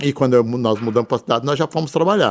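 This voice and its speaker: With ordinary pitch variation, a man speaks in a medium register. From rural interior of São Paulo state, Brazil. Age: 60s. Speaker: businessman, pharmacy chain founder. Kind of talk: interview. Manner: halting, many fillers.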